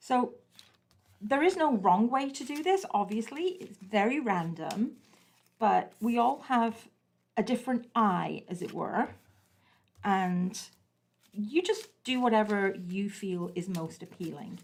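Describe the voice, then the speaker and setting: Somewhat breathy speech moves at a very slow pace with long, frequent pauses, lively intonation and big swings in loudness. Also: woman, fairly high pitch for a woman. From England. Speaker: craft instructor. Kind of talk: tutorial. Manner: casual, chatty.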